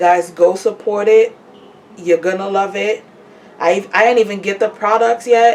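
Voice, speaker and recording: The voice moves at a moderate pace with fairly even intonation amid noticeable background noise. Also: woman. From Trinidad. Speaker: podcaster promoting businesses. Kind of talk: casual vlog monologue. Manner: casual, repetitive with self-corrections.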